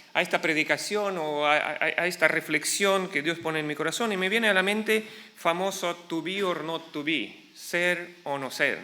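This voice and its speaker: A man with an Argentine accent uses a raised, projected voice. His pitch is high and his pace moderate. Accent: Latin American (Argentine) Spanish. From Ukraine, then Argentina from childhood/youth. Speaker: pastor. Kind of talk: sermon. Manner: halting, with fillers.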